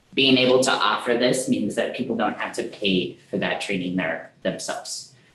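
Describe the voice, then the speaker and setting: A man talks at a moderate speed, with audible room echo and noticeable background noise around him. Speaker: program manager presenting to council. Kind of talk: meeting presentation.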